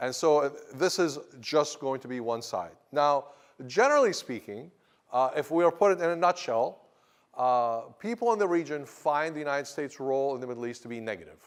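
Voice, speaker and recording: The speech moves at a fairly quick pace, with lively intonation and big swings in loudness. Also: man, fairly high pitch for a man. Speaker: history professor. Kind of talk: lecture. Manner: fast; animated.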